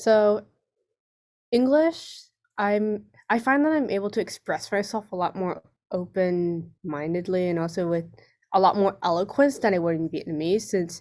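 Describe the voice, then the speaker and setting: A woman with an American accent speaks at a moderate pace and a medium pitch, her intonation lively and broken by long, frequent pauses. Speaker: student panelist. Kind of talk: online panel discussion. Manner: expressive, varied tone.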